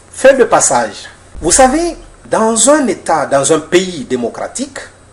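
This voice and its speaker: Amid noticeable background noise, a man speaks very slowly at a high pitch with very wide pitch swings. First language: Mandinka (speaking French). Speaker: author and political commentator. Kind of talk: lecture. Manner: formal.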